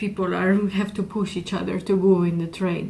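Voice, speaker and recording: A woman with a Georgian accent, somewhat breathy, at a medium pitch and moderate pace, in monotone, flat intonation. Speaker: YouTuber. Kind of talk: vlog monologue. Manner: hesitant with fillers.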